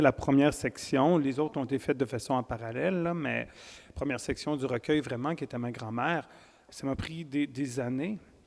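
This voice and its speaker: A man's fairly high-pitched voice with a Quebec accent. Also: ordinary pitch variation, fairly quick pace. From Quebec, Wendake (Huron-Wendat First Nation). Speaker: poet and writer. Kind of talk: interview at a literary festival. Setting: stage with live audience. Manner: hesitant, many fillers and repetitions.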